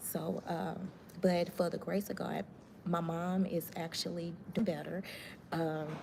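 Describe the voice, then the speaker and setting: Soft-spoken and fairly low-pitched, a woman talks at a fairly slow pace with fairly even intonation and long, frequent pauses. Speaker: live-stream host. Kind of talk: casual live-stream chat. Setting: hospital, near the chapel. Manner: soft-spoken, talking low.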